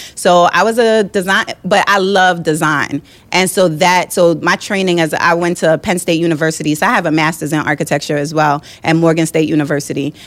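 A woman with an ordinary speaking voice talks at a fairly quick pace and a fairly low pitch, with fairly even intonation and very even loudness. The recording is very clean, with a silent background. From New York (Brooklyn), born in Jamaica. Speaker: entrepreneur, architect. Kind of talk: casual chat.

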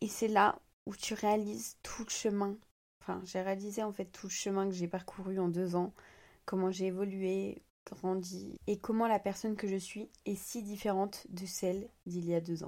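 Over a silent background in a very clean recording, a woman talks at a medium pitch. Her pace is fairly slow and her intonation monotone and flat. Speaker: podcaster and social media creator. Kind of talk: personal monologue.

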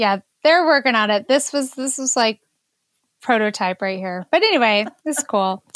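A woman speaks in an ordinary speaking voice at a moderate pace, her fairly high pitch moving with lively intonation in a dry, close sound with no echo. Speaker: podcast co-host. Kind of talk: casual chat.

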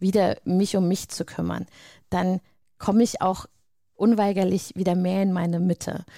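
Over a silent background in a very clean recording, a woman with a dark, mellow tone and medium pitch speaks at a moderate pace in a monotone, flat intonation, with long, frequent pauses. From Hesse, Frankfurt area. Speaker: coach for mothers. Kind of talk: interview.

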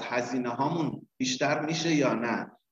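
Delivered in an ordinary speaking voice, a man talks at a moderate pace with a medium pitch and ordinary pitch variation. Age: 40s. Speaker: business consultant and trainer. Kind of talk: interview.

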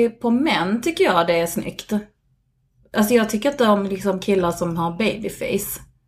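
Her voice has a somewhat breathy quality. The woman's speed is moderate. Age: 40s. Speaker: podcast guest. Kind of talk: casual chat. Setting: recording at the host's home.

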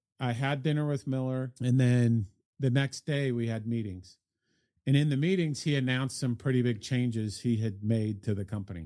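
In a dry, close recording with no echo, a man with an American accent speaks at medium pitch and a moderate pace, his tone dark and mellow with ordinary pitch variation. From Salt Lake City, US (raised partly in Australia, New Zealand, Brazil). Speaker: business executive and managing partner. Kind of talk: casual interview conversation.

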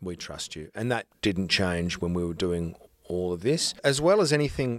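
A man speaks with an Australian accent and ordinary pitch variation. The sound is dry and close with no echo. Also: very clean recording, silent background. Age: 40s. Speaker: actor. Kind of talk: casual chat.

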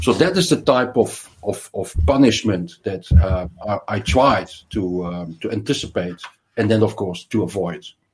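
Somewhat breathy, a man with a fairly low pitch speaks at a fairly slow pace with lively intonation. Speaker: financial research analyst. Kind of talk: casual interview.

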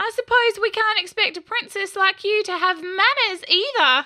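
A woman uses a put-on character voice, extremely high-pitched and gravelly. She projects it in a raised voice at a moderate pace. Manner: cheeky, sarcastic.

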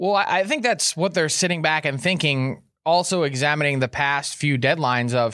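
With an unremarkable speaking voice, a man talks at a moderate pace in a fairly high pitch with lively intonation, on a very clean recording with a silent background. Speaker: hockey insider. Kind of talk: casual interview. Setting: live studio at event.

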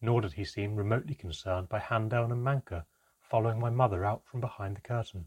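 Here a speaker reads aloud in a natural voice.

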